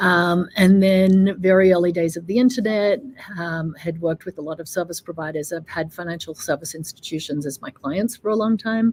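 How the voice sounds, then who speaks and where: Speaking at a fairly quick pace, this voice carries an Australian accent. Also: woman. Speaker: fintech executive. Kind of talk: interview.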